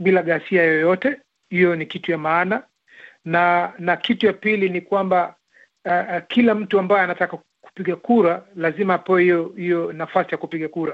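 At a moderate pace, a man talks in a high-pitched voice with fairly even intonation. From Kenya. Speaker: doctor, political supporter. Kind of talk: panel discussion.

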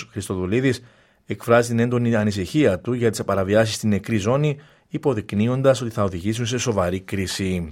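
In a very clean recording with a silent background, a man with a plain, everyday voice speaks at a moderate pace and medium pitch. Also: ordinary pitch variation. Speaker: radio newsreader. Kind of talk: news bulletin read aloud in formal, scripted Greek. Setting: studio. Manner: formal, measured, steady; brisk, neutral, even delivery.

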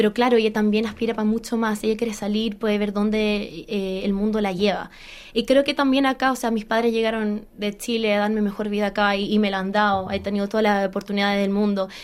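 A woman talks very fast with hardly any pauses. Her fairly high voice stays monotone and flat. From Australia, Chilean background. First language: English (speaking Spanish). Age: 30s. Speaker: musical theatre actress. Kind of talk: interview. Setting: studio.

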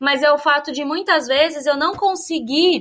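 Over a very clean recording with a silent background, a woman speaks with lively intonation. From Brazil, São Paulo state (Piracicaba). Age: 30s. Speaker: urban planner, immigrant interviewee. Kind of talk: interview testimony.

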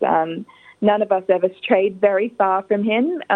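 Her intonation stays fairly even. The speaker is a woman with an Australian accent. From Adelaide, South Australia. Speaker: granddaughter of an honoured community figure. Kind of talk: interview. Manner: hesitant, with fillers.

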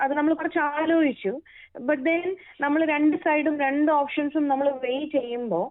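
A woman with a high pitch speaks at a very even loudness with ordinary pitch variation. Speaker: immigrant interviewee, mother. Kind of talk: interview soundbite.

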